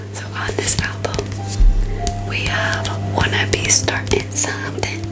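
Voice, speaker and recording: Whispering and soft-spoken, a woman talks very slowly with music in the background. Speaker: ASMR content creator. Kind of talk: ASMR haul video, casual talk to camera. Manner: chatty, playful; whispered, soft-spoken.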